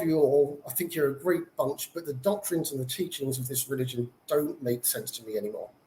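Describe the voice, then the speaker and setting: Speaking at a moderate pace with a British accent, a man uses a dark, mellow tone and very wide pitch swings. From UK. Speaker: former Jehovah's Witness. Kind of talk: testimony.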